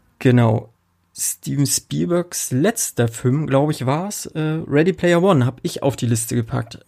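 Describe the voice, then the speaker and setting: In a very clean recording with a silent background, a man with a dark, mellow tone and a fairly high pitch speaks fairly slowly with lively intonation. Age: 30s. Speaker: podcast host. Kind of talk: casual chat.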